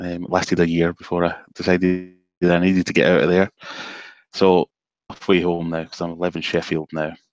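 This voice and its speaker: Very deep, low male voice in a Glaswegian accent, fairly quick and flat in monotone intonation. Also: dry, close sound with no echo. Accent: Glaswegian Scottish. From Scotland, Glasgow (Cambuslang). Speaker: aquarium hobbyist YouTuber. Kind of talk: casual chat. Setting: video call.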